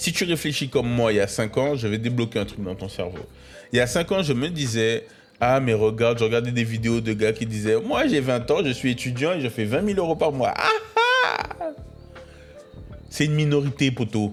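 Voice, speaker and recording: Over background music, a man speaks at a medium pitch and moderate pace. His tone is animated, his intonation lively. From Paris region, France (Créteil). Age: 20s. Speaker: podcast host. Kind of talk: motivational monologue. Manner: animated, casual slang.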